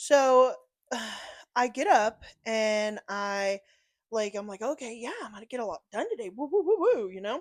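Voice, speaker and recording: Loud and animated, a woman with a fairly high pitch speaks at a moderate pace with lively intonation and long, frequent pauses. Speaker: podcast co-host. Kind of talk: casual chat.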